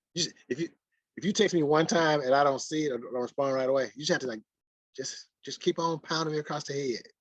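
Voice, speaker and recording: This man speaks at a very fast pace with a Mississippi accent and a fairly high pitch. His pitch variation is ordinary, and the sound is dry and close with no echo. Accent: Mississippi, country. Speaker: sports writer. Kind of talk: casual interview chat.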